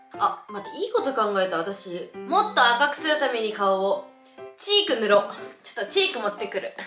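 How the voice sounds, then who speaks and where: The room echo is audible as a woman speaks in a raised, projected voice at a moderate pace. Clear music plays in the background. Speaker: vlogger. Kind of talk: casual vlog chat. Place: home room. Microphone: camera far.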